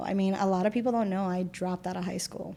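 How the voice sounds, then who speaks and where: This woman speaks with a Spanish accent in a medium pitch. Her tone is dark and mellow, with ordinary pitch variation. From Puerto Rico. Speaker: community volunteer. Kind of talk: interview conversation. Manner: casual with many fillers.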